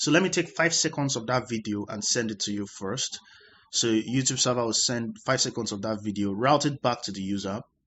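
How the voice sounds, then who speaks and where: A man with a normal speaking voice at medium pitch, ordinary pitch variation and a fairly quick pace. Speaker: tech explainer. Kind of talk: tutorial.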